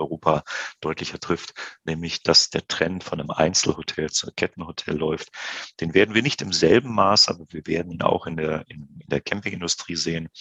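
A man speaks at a moderate pace in a very deep, low pitch with ordinary pitch variation, the sound dry and close with no echo. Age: 50s. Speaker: business executive. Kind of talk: podcast interview.

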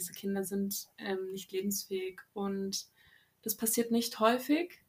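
Woman's medium-pitched voice at a moderate pace with ordinary pitch variation. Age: 20s. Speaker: novelist. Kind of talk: interview. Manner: hesitant, many fillers.

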